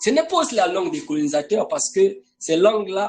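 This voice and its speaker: A man talks at a fairly slow pace. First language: not French (an African language) (speaking French). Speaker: preacher. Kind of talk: sermon. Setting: online live broadcast. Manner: emphatic, insistent.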